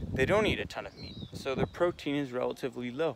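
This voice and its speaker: A man's medium-pitched voice with an American accent and lively intonation. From USA. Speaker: fitness vlogger. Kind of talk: casual vlog monologue. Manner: quiet, subdued.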